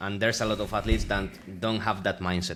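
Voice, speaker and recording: The speaker has a Spanish accent and ordinary pitch variation. Vocal fry runs through the voice. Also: man. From Spain, Extremadura. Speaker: streetlifting athlete and coach. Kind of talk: casual interview chat. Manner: halting, searching for words.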